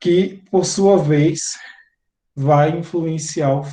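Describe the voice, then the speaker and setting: Amid audible room echo, a man with a Bahian accent speaks at a very slow pace in a dark, mellow tone. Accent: Bahian Brazilian Portuguese, noticeable. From Bahia interior, Brazil. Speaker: teacher. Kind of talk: lecture.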